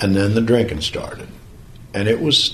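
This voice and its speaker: In a rural Missouri accent, a man speaks at a moderate pace amid audible room echo and noticeable background noise. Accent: rural Missouri American. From US Midwest, Jefferson County Missouri. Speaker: war veteran. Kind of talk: testimony. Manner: halting.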